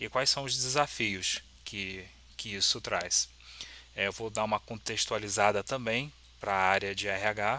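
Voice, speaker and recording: The man's pitch is fairly low. He speaks at a fairly slow pace with fairly even intonation. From Brazil, Petrópolis, Rio de Janeiro state. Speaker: software developer and YouTuber. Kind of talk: lecture. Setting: symposium talk with audience. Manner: hesitant, many fillers.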